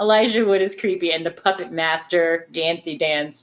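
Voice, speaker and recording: The speech comes in an unremarkable speaking voice at a moderate pace. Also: woman. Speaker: podcast panelist. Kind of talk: casual chat.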